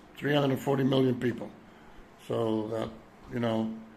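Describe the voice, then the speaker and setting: A man's medium-pitched voice at a very fast pace, monotone and flat, with noticeable background noise. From Europe. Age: 70s. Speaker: vlogger. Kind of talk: personal monologue. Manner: hesitant, many fillers.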